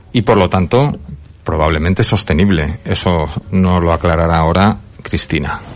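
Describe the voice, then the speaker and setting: Speaking at a moderate pace, a man with a very deep, low pitch keeps his loudness very even and his pitch variation ordinary. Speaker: radio host. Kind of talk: radio talk show.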